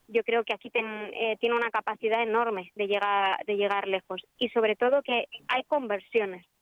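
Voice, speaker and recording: A woman with a Madrid accent talks at a moderate pace, with a fairly high pitch and fairly even intonation. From Spain. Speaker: film distributor. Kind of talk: radio interview.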